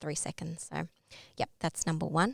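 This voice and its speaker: With an Australian accent, a woman speaks in a fairly low voice. The sound is dry and close, with no echo. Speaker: LinkedIn branding workshop presenter. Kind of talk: online workshop presentation. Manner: hesitant fillers.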